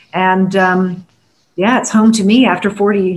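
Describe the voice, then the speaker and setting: A woman's somewhat breathy voice at a medium pitch, moderate pace and fairly even intonation. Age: 60s. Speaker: communications coach and former radio performer. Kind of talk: panel discussion.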